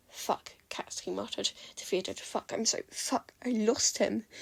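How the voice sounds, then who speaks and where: A woman in a very clean recording with a silent background, her voice dry and close with no echo. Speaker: fanfiction reader. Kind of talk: reading aloud. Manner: fast; halting.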